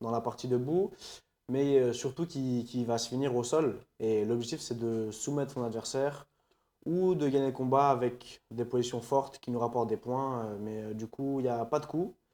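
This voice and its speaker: On a very clean recording with a silent background, a dark, mellow tone carries ordinary pitch variation at a moderate pace. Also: man, medium pitch for a man. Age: 20s. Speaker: Brazilian jiu-jitsu athlete and coach. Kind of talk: podcast interview.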